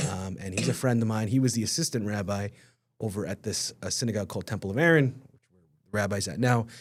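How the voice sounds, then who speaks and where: A man talks at a very fast pace with ordinary pitch variation in a New York accent. The recording is very clean, with a silent background. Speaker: rabbi. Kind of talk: casual chat. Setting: studio. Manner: loud.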